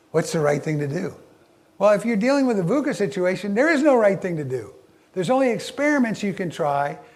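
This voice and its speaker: Over audible room echo, a man with an American accent talks at a fairly quick pace and a high pitch, making very wide pitch swings. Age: 70s. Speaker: leadership speaker. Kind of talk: keynote talk. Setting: stage with audience. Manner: halting.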